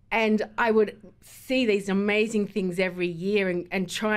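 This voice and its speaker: A woman with an Australian accent, at a medium pitch and a fairly slow pace, with ordinary pitch variation. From Melbourne, Australia. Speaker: event organiser. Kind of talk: radio interview.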